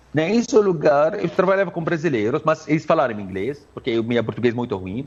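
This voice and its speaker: A man talks with very wide pitch swings. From Syria. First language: Arabic (speaking Portuguese). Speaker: Arabic language teacher. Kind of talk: interview. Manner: halting.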